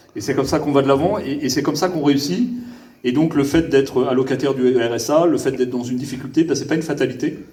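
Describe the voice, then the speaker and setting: A man with a Parisian accent speaks at a fairly quick pace, his pitch fairly high with ordinary variation. Audible room echo surrounds the voice. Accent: very Parisian French. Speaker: government official (prefect). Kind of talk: improvised public speech. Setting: gala event with audience. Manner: hesitant, many fillers and repetitions.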